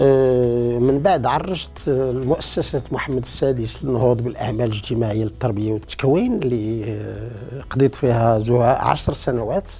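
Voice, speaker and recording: Music plays in the background as a man speaks at a very slow pace. He leaves hardly any pauses. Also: medium pitch for a man, ordinary pitch variation. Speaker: retired teacher. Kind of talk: interview testimony.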